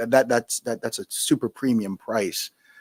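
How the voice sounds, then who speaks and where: A medium-pitched man with a New York accent, in a dry, close sound with no echo. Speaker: spirits entrepreneur and retired Marine. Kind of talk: interview. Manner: fast.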